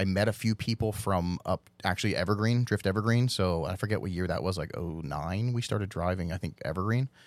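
A man's fairly low, an ordinary speaking voice, with ordinary pitch variation, in a very clean recording with a silent background. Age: 40s. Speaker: drift team owner and event organizer. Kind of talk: casual chat.

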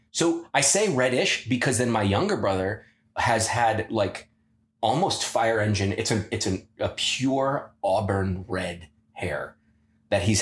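The voice carries an American accent. It sounds somewhat breathy. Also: man. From US Midwest, Ohio (Pickerington, near Columbus). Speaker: former wrestler. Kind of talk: casual chat.

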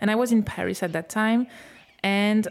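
A woman with a French accent speaks in fairly even intonation. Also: very clean recording, silent background. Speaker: podcast host. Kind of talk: interview. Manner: halting.

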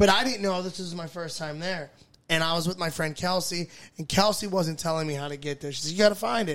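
Here a man speaks very fast with an American accent. His pitch is high and varies in an ordinary way. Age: 30s. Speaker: comedian. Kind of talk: casual chat.

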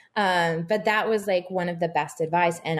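A plain, everyday voice with an American accent. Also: woman. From Texas. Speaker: personal trainer and fitness producer. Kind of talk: casual interview chat.

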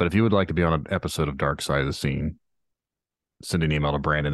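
Against a quiet background, a man speaks at a very fast pace in a very deep, low voice with vocal fry. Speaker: podcast host. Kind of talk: casual chat. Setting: virtual call.

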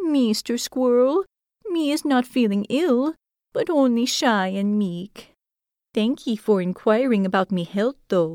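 A female-sounding put-on character voice, fairly high for a woman, at a fairly slow pace on a very clean recording with a silent background. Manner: timid, humble, pleading.

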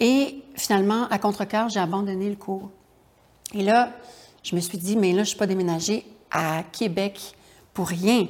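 Long, frequent pauses in a woman's fairly slow speech, medium in pitch and ordinary in pitch variation. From Quebec, Charlevoix region. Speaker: writer and actress. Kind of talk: interview.

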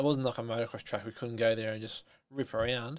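A medium-pitched man with an Australian accent and monotone, flat intonation. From Australia, New South Wales. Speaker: stuntman. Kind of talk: casual interview chat.

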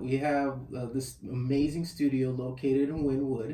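A man is talking, and noticeable background noise can be heard behind him. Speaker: podcast host. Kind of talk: casual interview. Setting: studio.

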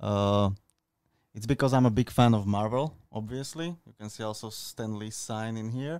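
With a Slovak accent, a man speaks at a moderate pace with ordinary pitch variation and big swings in loudness on a very clean recording with a silent background. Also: medium pitch for a man. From Slovakia. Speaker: content creator and street workout athlete. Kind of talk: casual interview. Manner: halting, with many fillers.

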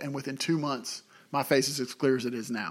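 Very fast pace and monotone, flat intonation from a man at a medium pitch, on a very clean recording with a silent background. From Tennessee. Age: 40s. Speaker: business owner, entrepreneur. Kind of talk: casual interview, life advice.

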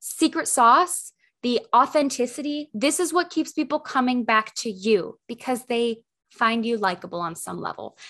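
A loud, high-pitched woman's voice, bright and sharp, with an animated tone and lively intonation over a quiet background. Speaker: podcast host and camera confidence coach. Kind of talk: solo podcast monologue.

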